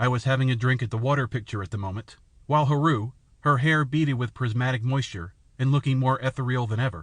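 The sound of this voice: What we hear is an unforced reading voice.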